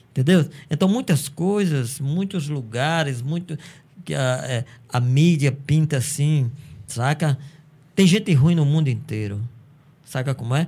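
Somewhat breathy, dark and mellow speech at a fairly slow pace, with ordinary pitch variation and long, frequent pauses. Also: man, fairly high pitch for a man. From Brazil, Paraíba (Cajazeiras). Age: 50s. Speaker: teacher and musician. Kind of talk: casual chat.

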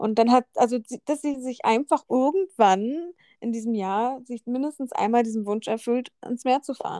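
A woman's high-pitched voice has a dark, mellow tone and a dry, close sound with no echo. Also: ordinary pitch variation, moderate pace. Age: 30. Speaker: podcast co-host. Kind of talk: casual chat.

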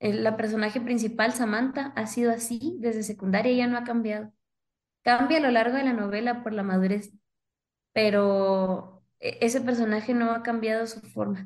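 A woman's normal speaking voice, fairly high in pitch, at a moderate pace with fairly even intonation. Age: 20s. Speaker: author. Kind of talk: interview.

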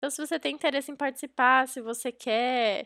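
In a very clean recording with a silent background and a dry, close sound with no echo, a woman speaks in a bright, sharp tone with ordinary pitch variation. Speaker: podcast host. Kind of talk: podcast intro and outro, promotional.

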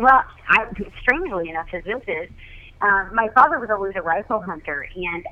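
A woman with an American accent talks at a fairly quick pace in an ordinary speaking voice. Her pitch is medium and her intonation lively. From Oregon. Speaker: professional hunter and outdoor show host. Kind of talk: casual interview.

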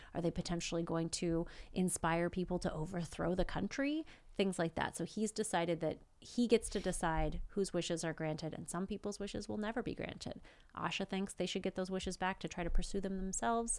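A normal speaking voice comes through on a very clean recording with a silent background. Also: woman, medium pitch for a woman, ordinary pitch variation, fairly quick pace. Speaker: podcast co-host. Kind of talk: casual chat, movie review.

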